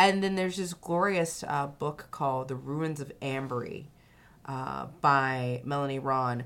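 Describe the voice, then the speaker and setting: A woman's very deep, low voice with an American accent, at a fairly slow pace amid audible room echo. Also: ordinary pitch variation. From US South, Louisiana. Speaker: podcast host, attorney and writer. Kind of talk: casual chat. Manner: animated.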